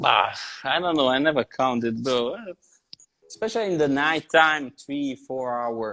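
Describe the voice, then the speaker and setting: Using a bright, sharp tone, a man with an Italian accent speaks at a fairly slow pace and a fairly high pitch. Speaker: tattoo artist. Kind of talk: casual chat. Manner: halting.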